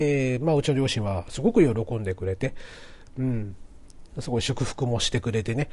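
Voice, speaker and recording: A man speaks at a medium pitch and moderate pace. His voice is somewhat breathy, with ordinary pitch variation. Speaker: podcast host. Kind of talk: casual monologue. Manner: frequent filler words.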